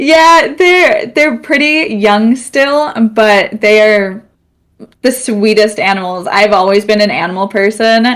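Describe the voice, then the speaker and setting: A woman with an American accent, at a very slow pace. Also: fairly high pitch for a woman, lively intonation. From United States. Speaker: student streamer, podcast guest. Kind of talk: casual chat. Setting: live stream podcast.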